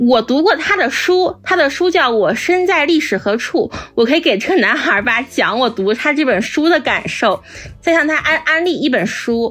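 A woman with a high-pitched voice and very wide pitch swings talks with hardly any pauses over music in the background. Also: moderate pace. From Northeast China. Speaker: podcast guest. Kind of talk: casual chat.

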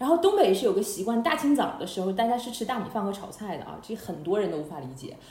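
A woman's fairly high voice rushes along at a very fast pace. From Harbin, Heilongjiang, China. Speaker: podcast host. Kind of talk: casual chat. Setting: online call.

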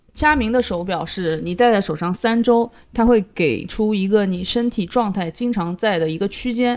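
An ordinary speaking voice goes at a moderate pace with hardly any pauses and ordinary pitch variation. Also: woman, medium pitch for a woman. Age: middle-aged. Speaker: podcast co-host. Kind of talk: casual chat.

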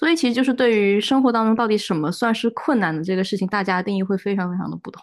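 A woman talks at a very fast pace with hardly any pauses, her medium-pitched voice carrying lively intonation. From Guangzhou. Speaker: podcast co-host, graduate student. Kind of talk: casual chat. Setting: studio, in person with co-hosts.

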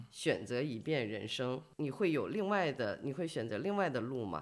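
With very wide pitch swings, a woman speaks at a fairly slow pace in a very deep, low voice. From China, not Beijing. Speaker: podcast host. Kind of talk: interview. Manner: hesitant, many fillers.

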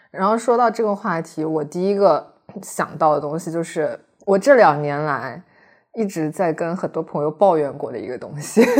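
A woman's ordinary speaking voice at a moderate pace, with lively intonation and big swings in loudness. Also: fairly low pitch for a woman. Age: 30s. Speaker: podcast co-host. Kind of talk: casual chat.

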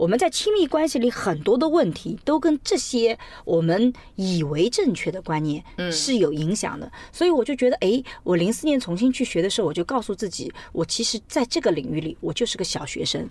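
A woman speaks at a fairly high pitch, her voice swinging very widely up and down. Noticeable background noise runs underneath. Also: fairly quick pace. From China, Suzhou. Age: 40s. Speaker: sociology professor. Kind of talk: interview conversation. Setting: in a car. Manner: animated.

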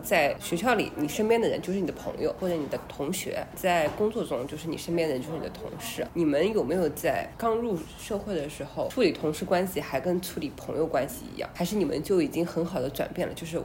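A woman with a fairly low pitch speaks at a fairly quick pace, with hardly any pauses and ordinary pitch variation. Noticeable background noise runs underneath. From small city in China. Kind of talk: casual chat.

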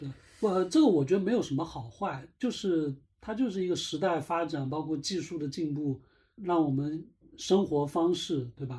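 A man with a dark, mellow tone and a fairly high pitch speaks at a moderate pace with ordinary pitch variation, in a very clean recording with a silent background. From Jiangnan small town, Zhejiang. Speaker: podcast host. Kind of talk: casual chat.

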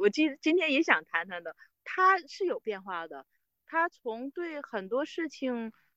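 Her tone bright and sharp, a woman speaks with very wide pitch swings in a dry, close sound with no echo. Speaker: team leader. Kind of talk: interview. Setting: outdoors, remote call.

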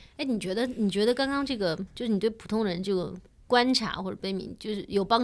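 A woman with a plain, everyday voice speaks at a medium pitch and a fairly quick pace, with ordinary pitch variation. The recording is very clean, with a silent background. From China, small city. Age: middle-aged. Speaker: podcast co-host. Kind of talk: casual chat.

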